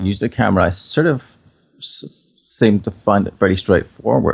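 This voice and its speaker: An Irish accent marks this man's fairly quick speech, pitched fairly low with ordinary pitch variation. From Northern Ireland, near Belfast. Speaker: portrait photographer. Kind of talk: interview conversation. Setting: podcast interview. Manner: halting, many false starts and fillers.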